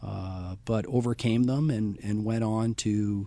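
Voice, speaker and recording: Against a quiet background, an ordinary speaking voice with a Canadian accent carries fairly even intonation. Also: man. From British Columbia, Canada. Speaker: school educator. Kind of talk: interview.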